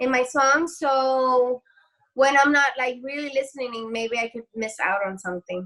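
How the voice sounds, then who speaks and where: A woman's high, bright and sharp voice with a Spanish accent and ordinary pitch variation, in a dry, close sound with no echo. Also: moderate pace. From Dominican Republic. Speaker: singer-songwriter. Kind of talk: casual interview chat.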